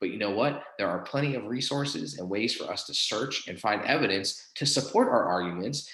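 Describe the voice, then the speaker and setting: Fairly quick, lively speech from a man with a fairly low pitch, with audible room echo. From Southwestern Pennsylvania (Pittsburgh). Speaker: college professor. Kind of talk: lecture. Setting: live class presentation. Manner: many fillers and repetitions.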